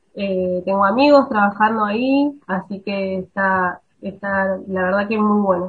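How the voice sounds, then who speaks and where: Fairly slow and medium in pitch, a woman speaks in a normal speaking voice with fairly even intonation. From Río Negro, Argentina. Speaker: biologist researcher. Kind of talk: radio interview.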